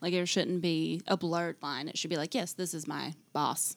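In an unremarkable speaking voice, a woman talks at a moderate pace with a fairly low pitch, captured in a very clean recording with a silent background. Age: 20s. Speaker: hand-lettering artist and small business owner. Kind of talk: interview.

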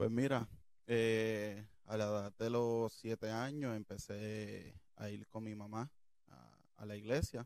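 In a Puerto Rican accent, a man speaks at a very slow pace with monotone, flat intonation. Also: fairly low pitch for a man. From Puerto Rico, Toa Alta. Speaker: church usher. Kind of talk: testimony interview.

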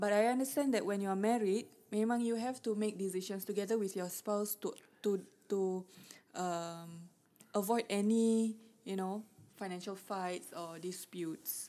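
A woman speaks at a moderate pace in a medium pitch, with a dark, mellow tone and fairly even intonation. The recording is very clean, with a silent background. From Singapore. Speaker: podcast host. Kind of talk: casual chat.

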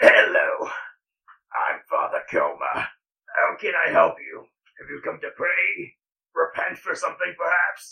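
A man puts on a raspy character voice at an extremely high pitch. He delivers it at a fairly slow pace. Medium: actual play. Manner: gruff, blunt.

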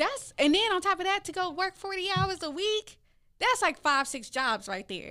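A woman's raised, projected voice, extremely high and bright and sharp in tone, swings very widely in pitch at a moderate pace. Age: 20s. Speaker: podcast host. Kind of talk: casual chat.

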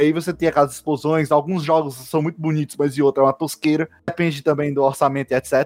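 Here is a man with an unremarkable speaking voice. His pitch is fairly high, and he talks at a fairly quick pace. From Brazil, Ceará (Fortaleza). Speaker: podcast host, geography undergraduate. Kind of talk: casual discussion podcast.

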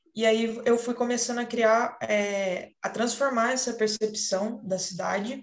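Fairly slow and monotone, a woman speaks at a fairly high pitch with flat intonation. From São Paulo state, Paraíba Valley (Caçapava). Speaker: architecture student. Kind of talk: student podcast presentation. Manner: hesitant, many fillers.

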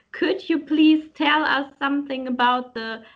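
A woman with a German accent, high in pitch, at a fairly slow pace with ordinary pitch variation. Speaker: podcast host. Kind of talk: interview. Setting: video call.

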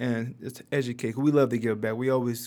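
A plain, everyday voice: a man with an American accent, medium pitch, moderate pace, and fairly even intonation. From Detroit, Michigan. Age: 30s. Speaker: nonprofit founder. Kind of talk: casual interview.

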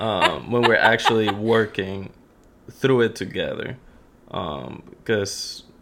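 A man speaks very slowly as noticeable noise carries behind him. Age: 20s. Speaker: host's husband. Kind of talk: casual chat. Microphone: sharing one mic, sitting close.

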